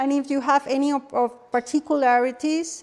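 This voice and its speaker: In a Spanish accent, a woman speaks at a moderate pace with monotone, flat intonation on a very clean recording with a silent background. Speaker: holistic health workshop presenter. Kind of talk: workshop presentation. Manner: halting, with repetitions.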